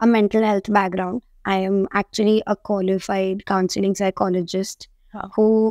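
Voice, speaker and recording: A woman speaks in a monotone, flat way at a moderate pace. The sound is dry with no echo, over a quiet background. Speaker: guest. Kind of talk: interview answer. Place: studio.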